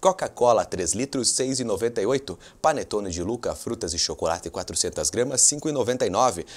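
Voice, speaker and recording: A man speaks very slowly, his intonation lively. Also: medium pitch for a man. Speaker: TV presenter. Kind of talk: pitchman reading out supermarket promotions on a local TV show. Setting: TV studio with a colleague present.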